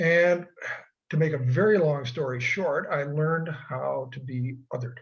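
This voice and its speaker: A man's voice sits fairly high in pitch. It comes across somewhat breathy. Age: 80s+. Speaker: retired history professor. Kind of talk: casual chat. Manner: conversational with fillers.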